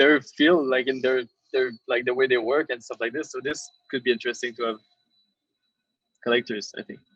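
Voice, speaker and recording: A man at medium pitch, dry, close sound with no echo, and music in the background. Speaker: digital artist. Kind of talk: podcast interview. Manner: halting, repeats words.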